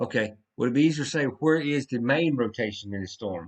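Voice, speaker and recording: A man's medium-pitched voice has lively intonation. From US South. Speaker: severe weather livestreamer. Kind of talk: live weather commentary. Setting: livestream. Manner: casual, self-correcting.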